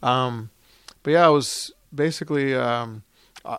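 The speaker moves at a fairly slow pace. The intonation is fairly even. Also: man. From Florida, Orlando (born in Puerto Rico). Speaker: baseball executive. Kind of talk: interview. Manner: halting, many fillers.

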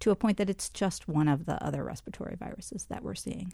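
Her fairly low voice has a dark, mellow tone and vocal fry, and the woman's pitch varies in an ordinary way. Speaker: public health official and physician. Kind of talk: interview. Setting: studio.

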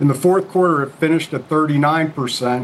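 Fairly slow and fairly even in intonation, a man talks at a fairly high pitch against noticeable background noise. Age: 60s. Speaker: company CEO. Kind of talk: TV interview.

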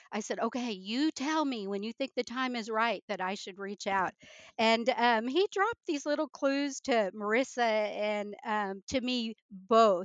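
A woman talks with a slight Midwestern accent. Her pitch is fairly high, and her pace fairly slow. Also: ordinary pitch variation. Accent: slight Midwestern drawl. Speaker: retired military guest. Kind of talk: casual interview chat.

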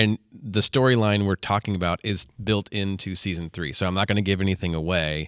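In a plain, everyday voice, a man speaks at a fairly quick pace with hardly any pauses, using a fairly low pitch and fairly even intonation in a dry, close sound with no echo. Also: very clean recording, silent background. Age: 30s. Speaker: podcast co-host, youth soccer coach. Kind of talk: casual chat.

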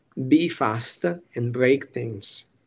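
The speaker is a man. His pitch is medium. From Italy, Piacenza. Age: 30s. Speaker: tech executive. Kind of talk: interview. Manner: animated.

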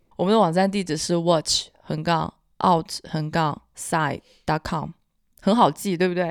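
A woman talks at a fairly low pitch. The recording is very clean with a silent background and a dry, close sound with no echo. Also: fairly even intonation. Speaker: podcast host, marketing professional. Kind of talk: casual chat.

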